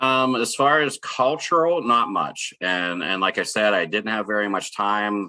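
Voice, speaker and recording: A bright, sharp-toned man with an American accent and ordinary pitch variation, in a very clean recording with a silent background. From Pittsburgh area, US. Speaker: chemical company sales professional. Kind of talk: Q&A at a workshop.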